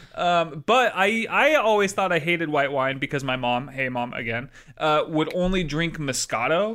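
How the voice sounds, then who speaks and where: The speaker has an unremarkable speaking voice and lively intonation. The pace is moderate, with hardly any pauses. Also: man, fairly high pitch for a man. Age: 30s. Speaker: soccer podcast co-host. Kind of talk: casual chat.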